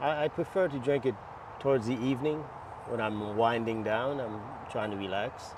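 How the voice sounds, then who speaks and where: Long, frequent pauses break up the speech, set against noticeable background noise. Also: man, medium pitch for a man, ordinary pitch variation, moderate pace. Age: 60s. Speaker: masters marathon runner. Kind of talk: interview.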